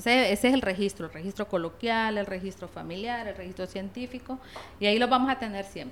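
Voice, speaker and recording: A woman at a very fast pace with big swings in loudness. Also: medium pitch for a woman, ordinary pitch variation. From La Paz, Honduras. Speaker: linguist and Spanish teacher. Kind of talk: interview.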